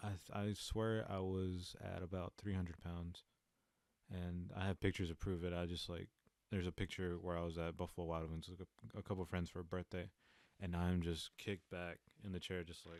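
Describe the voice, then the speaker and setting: Speaking at a fairly quick pace with an American accent, a man with a very deep, low pitch keeps a monotone, flat intonation in a very clean recording with a silent background and a dry, close sound with no echo. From eastern North Carolina. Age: 20s. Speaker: podcast host. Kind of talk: casual solo podcast monologue. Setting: home recording alone. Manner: halting, stumbling over words.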